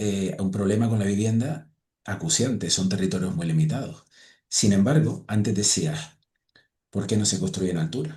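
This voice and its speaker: Somewhat breathy and dark, mellow in tone, a man's fairly low voice moves at a moderate pace with lively intonation. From Spanish islands (Balearic or Canary). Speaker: podcast host. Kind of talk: casual chat.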